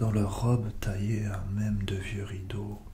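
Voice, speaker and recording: Soft-spoken, fairly low male voice, fairly slow and monotone, over noticeable background noise. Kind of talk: soft-spoken ASMR poetry reading. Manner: soft-spoken, slow.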